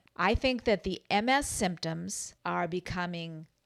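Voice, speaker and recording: In a very clean recording with a silent background, a woman with a plain, everyday voice speaks at a fairly slow pace with ordinary pitch variation. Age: 60s. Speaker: health vlogger, clinical social worker. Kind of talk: personal vlog monologue.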